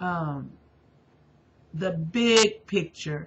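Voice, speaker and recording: Somewhat breathy, a woman's voice comes through. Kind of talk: religious testimony monologue. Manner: halting, many fillers.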